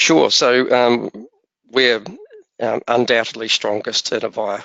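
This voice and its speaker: A man is speaking. He has a New Zealand accent. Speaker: software vendor presenter. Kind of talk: webinar presentation. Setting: webinar. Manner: hesitant, many fillers.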